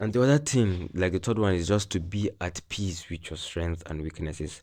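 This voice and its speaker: A man with a very deep, low pitch and a dark, mellow tone speaks at a moderate pace with a non-native accent. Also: quiet background. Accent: non-native English, self-noted imperfections. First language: not English. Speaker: self-help vlogger. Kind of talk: personal monologue. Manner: halting.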